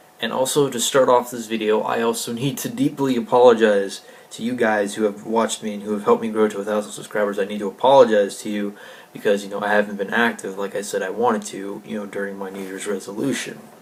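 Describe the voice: Amid audible room echo, a man talks fast in a fairly low pitch with little pitch movement.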